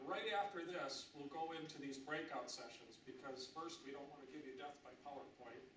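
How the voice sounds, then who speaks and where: A man with an American accent at a fairly high pitch, moderate pace and ordinary pitch variation, hardly any pauses, and audible room echo. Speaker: industry association representative. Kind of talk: presentation.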